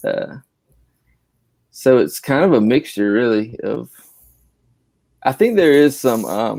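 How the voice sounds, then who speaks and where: A man with a South Carolina accent speaks at a very slow pace with long, frequent pauses, on a very clean recording with a silent background. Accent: South Carolina Southern. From South Carolina, Columbia area. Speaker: graphic designer. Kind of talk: casual chat.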